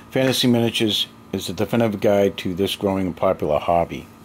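Over light background noise, a man with a fairly low pitch and ordinary pitch variation talks at a very fast pace. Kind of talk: casual vlog chat. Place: home room. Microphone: phone near.

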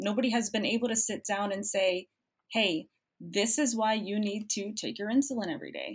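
A woman speaks with an American accent at a medium pitch. Her voice is somewhat breathy. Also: very clean recording, silent background. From Cuba, raised in the US. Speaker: medical student. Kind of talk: interview.

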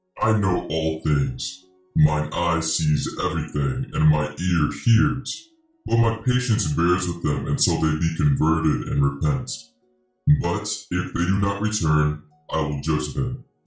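In a put-on character voice with a very deep, low pitch, a man speaks at a fairly slow pace over faint background music, with slight echo. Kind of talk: dramatized scripture reading. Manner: calm, solemn, authoritative.

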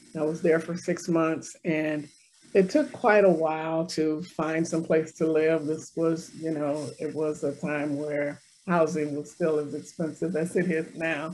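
At a fairly slow pace, the voice keeps a monotone, flat intonation over light background noise. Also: woman, very deep, low pitch for a woman. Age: old. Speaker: city council member. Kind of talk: casual interview conversation. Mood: friendly, conversational. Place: office. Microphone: video call.

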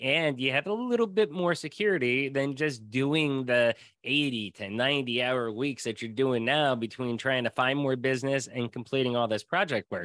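With an American accent, a man speaks in a plain, everyday voice at medium pitch and a moderate pace, ordinary in pitch variation, with hardly any pauses, a dry sound with no echo and a quiet background. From rural Pennsylvania, US. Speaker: sales director and podcast host; podcast guest. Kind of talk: casual interview. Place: home room. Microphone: video call.

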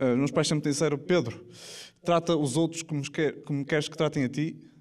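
Speaking at a fairly quick pace with fairly even intonation, a man's fairly high voice comes through over a quiet background. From Portugal. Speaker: stand-up comedian. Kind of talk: stand-up comedy to a live audience. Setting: live theatre with audience. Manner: casual, jokey, conversational. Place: stage. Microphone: handheld.

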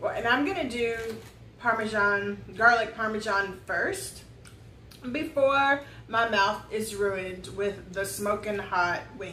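A woman's voice at a very slow pace with ordinary pitch variation, with audible room echo and light background noise. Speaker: mother co-host. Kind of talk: casual vlog chat. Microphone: camera far.

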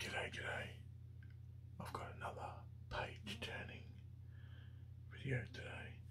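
The speech moves at a very slow pace. Noticeable background noise is present. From Australia. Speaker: ASMR creator. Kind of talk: ASMR page-turning, casual commentary.

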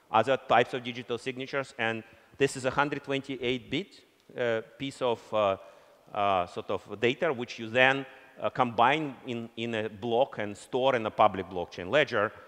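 A man with a Russian accent speaks at a moderate pace with ordinary pitch variation. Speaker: company founder and CEO; keynote speaker. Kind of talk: conference keynote speech. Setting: stage with audience. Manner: halting. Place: stage.

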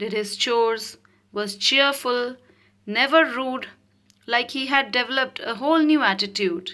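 A woman speaks at a fairly slow pace in a fairly high pitch with a bright, sharp tone and ordinary pitch variation. The recording is very clean, with a silent background. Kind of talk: children's story audiobook reading. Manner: clear, measured, rhythmic rhyming delivery for young students.

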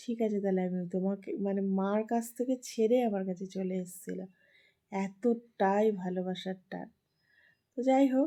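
Her medium-pitched voice has a dark, mellow tone and ordinary pitch variation. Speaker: vlogger and mother. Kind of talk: casual chat to camera.

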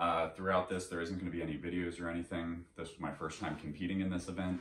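A man speaks at a very deep, low pitch with vocal fry and a relaxed tone. Audible echo fills the room. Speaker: triathlete vlogger. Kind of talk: casual vlog. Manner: relaxed, conversational. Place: home room.

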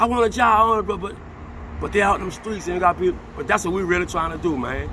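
Over light background noise, a man in a raised, projected voice talks at a fairly quick pace with ordinary pitch variation. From New Orleans. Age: 50s. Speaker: local resident, construction worker. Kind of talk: street interview. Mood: earnest, passionate. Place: street. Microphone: phone near.

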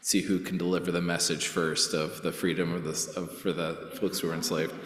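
Over audible room echo, a man with a very deep, low pitch and a bright, sharp tone speaks at a fairly quick pace. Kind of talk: church announcements. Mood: cheerful, relaxed. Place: church. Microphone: podium.

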